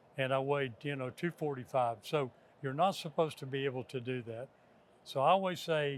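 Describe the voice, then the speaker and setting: This man talks at a moderate pace with a Texan accent. His pitch sits fairly high. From Texas. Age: 60s. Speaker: energy company executive. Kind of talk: interview. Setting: stadium event.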